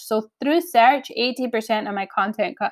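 This woman has an unremarkable speaking voice. Her pitch is fairly high and varies in an ordinary way. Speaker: podcast host, online business owner. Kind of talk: casual solo podcast talk. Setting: low-quality home recording.

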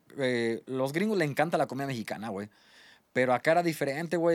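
In a very clean recording with a silent background, a man with a plain, everyday voice talks at a fairly quick pace with lively intonation. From Mexico. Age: 20s. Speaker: restaurant owner and chef. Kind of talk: casual chat.

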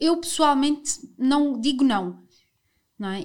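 A woman is speaking. She has a European Portuguese accent. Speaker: podcast host. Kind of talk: casual chat.

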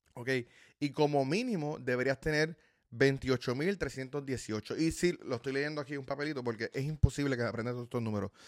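A man speaks at a moderate pace in an animated tone at a fairly high pitch with ordinary pitch variation, in a dry, close sound with no echo on a very clean recording with a silent background. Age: 30s. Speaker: personal finance YouTuber. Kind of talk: casual video talk to viewers. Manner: animated, filler-heavy with repetitions.

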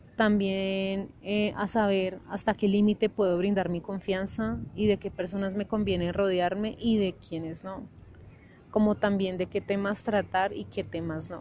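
A woman's dark, mellow tone, fairly slow pace and monotone, flat intonation. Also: medium pitch for a woman. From Colombia, Bogotá. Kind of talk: testimony. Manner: halting with frequent fillers.

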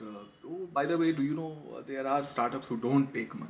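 Noticeable background noise runs behind a man's voice. He talks at a fairly quick pace and medium pitch. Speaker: podcast host, journalist. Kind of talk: interview. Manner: hesitant, many fillers.

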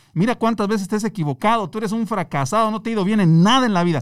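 The recording of this man is very clean, with complete silence behind him. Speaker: entrepreneur. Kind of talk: interview. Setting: studio. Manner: calm.

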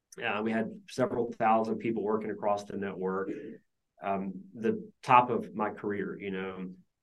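A man talks at a moderate pace with fairly even intonation. He has a normal speaking voice. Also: fairly low pitch for a man. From US South (Georgia). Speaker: business founder. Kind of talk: interview.

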